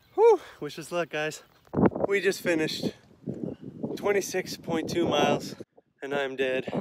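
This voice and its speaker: A man with a fairly high voice speaks at a fairly slow pace with long, frequent pauses and ordinary pitch movement, the sound dry with no echo but loud noise behind him. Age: young. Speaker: fitness vlogger. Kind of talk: casual vlog.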